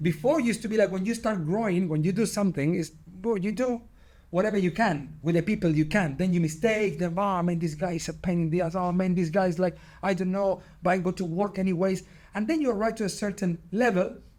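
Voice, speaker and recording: A high-pitched man with an Argentine accent speaks at a fairly quick pace with ordinary pitch variation, in a very clean recording with a silent background. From Argentina. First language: Spanish. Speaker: padel business founder. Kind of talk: podcast interview. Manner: halting, with frequent repetitions.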